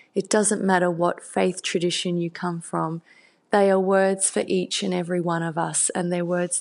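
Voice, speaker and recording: Against a quiet background, a woman with an Australian accent speaks at a moderate pace, her fairly low voice flat and monotone. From Australia, country Victoria. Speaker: children's book author. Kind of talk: interview.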